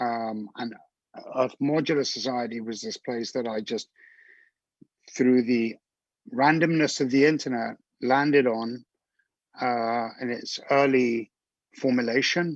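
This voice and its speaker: A man talks at a fairly slow pace. His intonation is fairly even, with long, frequent pauses. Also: medium pitch for a man. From England. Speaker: live stream co-host, modular synth musician. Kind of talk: casual chat.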